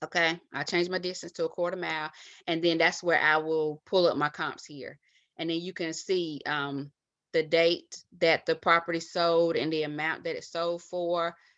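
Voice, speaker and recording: In a flat monotone, a woman speaks at a fairly low pitch over a quiet background. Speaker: real estate investor. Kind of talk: tutorial. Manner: halting, many fillers; fast. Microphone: webcam.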